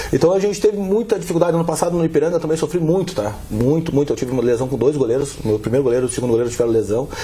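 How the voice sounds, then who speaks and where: At a very fast pace with hardly any pauses, a man with a fairly high pitch speaks in lively intonation. Noticeable background noise is present. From southern Brazil. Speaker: football club executive. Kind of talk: interview.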